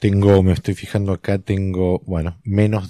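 A man speaks with a very deep, low pitch and a dark, mellow tone. The recording is very clean with a silent background, and the sound is dry and close with no echo. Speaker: screenwriter podcast co-host. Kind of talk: casual film analysis chat.

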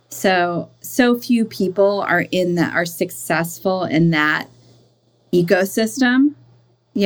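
With a normal speaking voice, a woman talks at a fairly low pitch with ordinary pitch variation. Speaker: business coach and founder. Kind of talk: interview conversation. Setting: video call.

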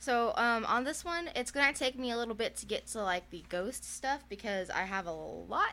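Against noticeable background noise, a woman speaks with lively intonation at a fairly high pitch. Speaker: podcast co-host. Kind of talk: casual, many fillers like "like".

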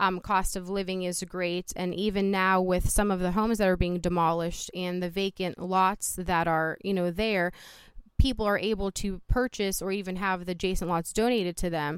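In a very clean recording with a silent background, someone speaks at a moderate pace with a Midwestern US accent. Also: woman, medium pitch for a woman. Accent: US Midwest. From Youngstown, Ohio (born in Poland). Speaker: city councilwoman. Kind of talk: interview. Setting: outdoors on a front porch. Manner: animated.

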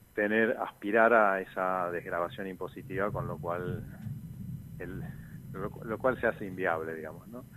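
Very deep and low, a man's voice moves at a fairly slow pace with ordinary pitch variation and big swings in loudness. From Argentina, Posadas (Misiones). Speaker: university professor and political candidate. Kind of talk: radio interview. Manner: halting, with repetitions.

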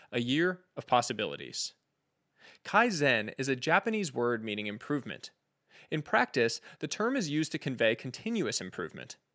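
A man with a medium-pitched, bright, sharp voice and vocal fry talks at a moderate pace, his pitch swinging very widely. The recording is very clean, with a silent background. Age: 30s. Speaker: podcast host. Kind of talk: scripted narration.

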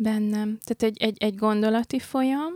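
A woman's fairly high voice at a moderate pace, in a very clean recording with a silent background and a dry, close sound with no echo. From Hungary, born in Pécs, international family. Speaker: graphic artist. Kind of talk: casual interview chat. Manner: hesitant, thoughtful.

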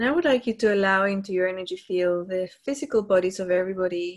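A woman's medium-pitched voice, an unremarkable speaking voice. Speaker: meditation leader on a group call. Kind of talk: guided meditation, slow spiritual visualization with breath cues. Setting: live group call. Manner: slow, soothing, hypnotic cadence with long pauses; gently repetitive, affirming and warm.

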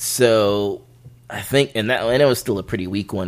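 The speaker is a man. His voice carries vocal fry. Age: 30s. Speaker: music commentator. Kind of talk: casual chat.

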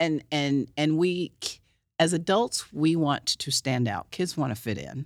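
With lively intonation, a woman speaks at a fairly slow pace in a very deep, low pitch. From Oklahoma City, US. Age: 50s. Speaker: founder of empowerment movement. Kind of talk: casual chat. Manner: halting, repeats words.

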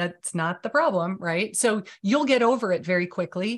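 This woman has an unremarkable speaking voice at medium pitch with lively intonation. The background is quiet. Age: 50s. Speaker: video marketing coach and author. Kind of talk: interview.

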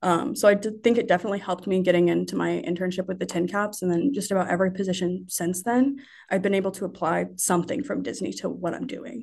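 A woman's medium-pitched voice with vocal fry and ordinary pitch variation, at a very fast pace with hardly any pauses. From Indiana, Marion. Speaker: sports marketing coordinator. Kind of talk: casual interview.

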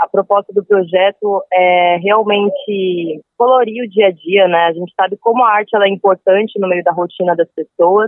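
This woman has a normal speaking voice at a medium pitch. Her pace is moderate. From São Paulo coast, Brazil. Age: 20s. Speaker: street musician. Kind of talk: interview.

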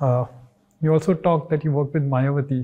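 Speaking at a very fast pace, a man uses a fairly high pitch and a dark, mellow tone that is somewhat breathy. His intonation stays monotone and flat. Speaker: podcast host. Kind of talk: interview.

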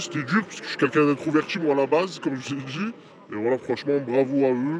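Over noticeable background noise, a man speaks at a fairly quick pace. His pitch shows ordinary variation. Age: young. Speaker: prison inmate. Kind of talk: interview.

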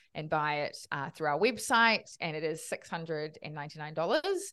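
With a New Zealand accent, a woman speaks at a moderate pace in a very deep, low pitch over a quiet background. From New Zealand, Auckland. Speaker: finance educator, co-founder of investing education platform. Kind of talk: podcast interview.

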